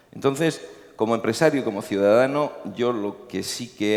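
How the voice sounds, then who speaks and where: A man with a Murcian accent speaks at a fairly slow pace. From Murcia, Spain. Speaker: company CEO. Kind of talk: panel discussion. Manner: hesitant, many fillers.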